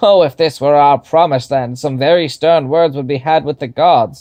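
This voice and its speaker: A man performs a put-on character voice against a quiet background. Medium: read story. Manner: pompous, formal.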